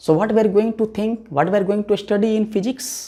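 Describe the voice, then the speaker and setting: Talking at a fairly quick pace, a man with an Indian accent has a high pitch. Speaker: physics teacher. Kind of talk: lecture.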